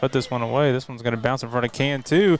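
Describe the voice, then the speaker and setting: A man speaks with a strong Southern US accent. Music plays in the background. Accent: thicker southern. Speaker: play-by-play sports announcer. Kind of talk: live commentary.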